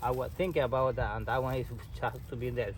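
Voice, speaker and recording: A man speaks with a Costa Rican accent. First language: Spanish. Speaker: landscaper. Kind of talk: tutorial. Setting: outdoors. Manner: halting.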